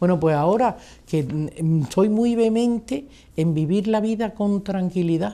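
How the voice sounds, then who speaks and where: This woman speaks at a very slow pace. Her tone is dark and mellow. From Spain, Granada; Spain. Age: 60s. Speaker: retired politician. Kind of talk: interview. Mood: calm, reflective. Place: home room.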